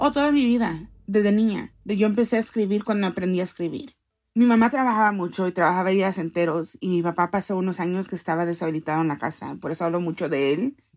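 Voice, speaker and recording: Speaking at a very fast pace with hardly any pauses, a woman of medium pitch uses lively intonation in a very clean recording with a silent background. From US, Salvadoran parents. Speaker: poet and activist. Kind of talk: interview. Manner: code-switching Spanish and English.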